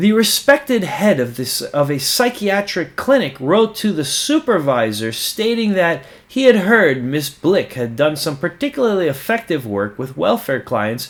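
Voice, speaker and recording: Through noticeable background noise, a man's high-pitched voice shows very wide pitch swings. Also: moderate pace, hardly any pauses. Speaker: audiobook narrator. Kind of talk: nonfiction book reading.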